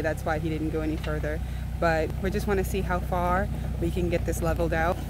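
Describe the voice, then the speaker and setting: Noticeable background noise sits under speech at a moderate pace, and the sound is dry with no echo. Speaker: vlogger filming partner. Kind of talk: casual vlog chat. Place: open country. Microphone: phone near.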